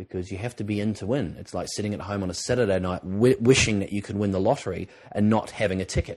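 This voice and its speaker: A man's fairly low voice with an Australian accent and fairly even intonation. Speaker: TV presenter and drama school lecturer. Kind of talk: educational podcast talk. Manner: conversational with many filler words.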